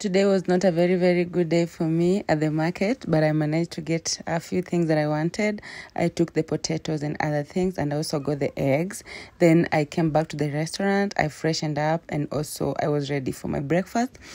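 A woman talks at a fairly quick pace with few pauses. Her tone is dark and mellow and her pitch low. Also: fairly even intonation.

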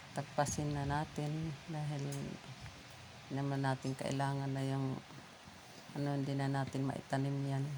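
The delivery is monotone and flat at a fairly slow pace. Long pauses come often. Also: woman, very deep, low pitch for a woman. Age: 60s. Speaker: vlogger, widow. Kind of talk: casual vlog monologue. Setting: outdoors in her yard.

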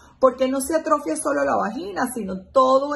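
A woman speaks at a high pitch with lively intonation. Light background noise can be heard. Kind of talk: educational explainer. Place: home room. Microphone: phone near.

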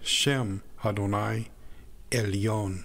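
A man's fairly low voice at a very slow pace. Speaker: scripture narrator. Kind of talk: reading aloud.

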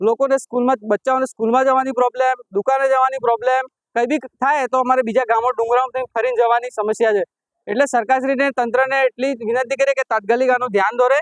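A man at an extremely high pitch, monotone and flat, with very even loudness and a dry, close sound with no echo. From Gujarat, Aravalli district. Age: 20s. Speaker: villager. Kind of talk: street interview.

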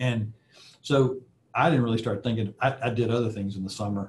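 A man, somewhat breathy, with an Alabama accent, at a fairly quick pace over light background noise. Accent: Southern US (Alabama). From US South, Alabama. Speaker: aerospace executive; guest. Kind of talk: guest lecture with Q&A. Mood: relaxed, friendly. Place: office. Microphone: video call.

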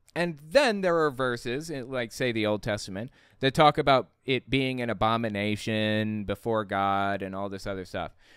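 A man talks at a moderate pace with ordinary pitch variation and hardly any pauses, in a dry sound with no echo and a quiet background. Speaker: YouTube commentator and author. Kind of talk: casual reaction commentary. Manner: animated; casual, slangy. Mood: sarcastic, critical. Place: home room. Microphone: studio mic.

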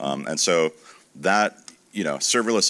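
The voice has a bright, sharp tone marked by vocal fry. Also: man. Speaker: tech industry analyst. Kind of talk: panel discussion. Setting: conference stage with audience. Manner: casual, filler-heavy. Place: stage. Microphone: handheld.

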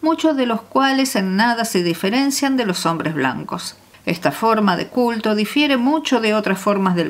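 Reading voice, unforced.

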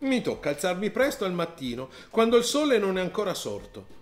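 Over music in the background, a man does a whiny, put-on character voice at a moderate pace with very wide pitch swings. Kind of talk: comic rhyming children's story. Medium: read story. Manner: complaining, whiny, indignant.

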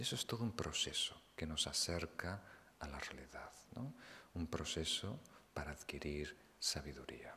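Whispering at a fairly slow pace, a man leaves long pauses often. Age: 40s. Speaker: Buddhist meditation teacher. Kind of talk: dharma talk.

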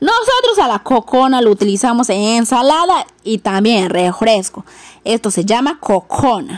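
A woman speaks at a fairly slow pace, her tone animated and her intonation lively. The sound is dry with no echo, over a quiet background. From Peruvian Amazon, Yurimaguas, Loreto; Loreto, Peru. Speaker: video blogger. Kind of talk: casual vlog narration. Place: garden. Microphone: phone near.

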